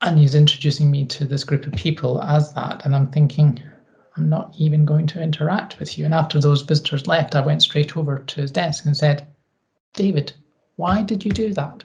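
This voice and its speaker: A woman with a Scottish accent, very deep and low in pitch, fairly quick in pace, with ordinary pitch variation. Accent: Scottish twang. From Scotland. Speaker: equality and inclusion advisor. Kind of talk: interview.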